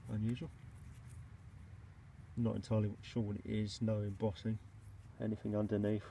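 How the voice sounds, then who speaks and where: This man's voice has a dark, mellow tone and is somewhat breathy, with fairly even intonation at a moderate pace. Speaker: bottle digger. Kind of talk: casual talk to camera while digging. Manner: monotone.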